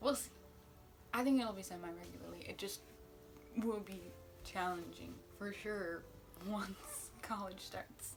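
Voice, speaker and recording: Music plays behind a woman who talks at a fairly slow pace with long, frequent pauses, her voice carrying audible room echo. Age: under 20s. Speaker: book vlogger. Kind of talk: casual vlog monologue.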